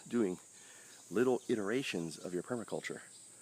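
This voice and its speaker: A soft-spoken man on a very clean recording with a silent background. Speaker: permaculture gardener and channel host. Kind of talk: casual outdoor video talk. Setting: outdoors in garden. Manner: soft-spoken, talking low.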